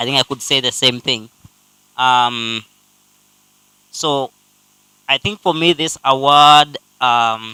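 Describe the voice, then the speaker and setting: Dry and close with no echo, a man's medium-pitched voice moves at a very slow pace with long, frequent pauses and ordinary pitch variation. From Kenya. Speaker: startup ecosystem builder receiving an award. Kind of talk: award acceptance speech.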